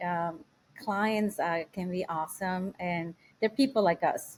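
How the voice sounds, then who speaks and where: The speech moves at a moderate pace. The intonation stays fairly even. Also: woman. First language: not English. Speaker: house manager and family assistant. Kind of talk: podcast interview. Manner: halting, many fillers.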